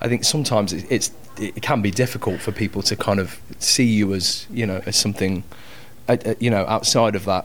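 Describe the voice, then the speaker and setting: Music plays in the background as a man talks at a fairly quick pace and a fairly low pitch, his intonation fairly even. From Coventry, England. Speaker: actor and musician. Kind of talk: casual chat.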